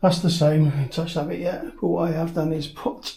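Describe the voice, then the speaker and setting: Somewhat breathy, fairly high male voice with a dark, mellow tone. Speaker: DIY home renovator. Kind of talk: casual DIY vlog. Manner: casual, hesitant with ums.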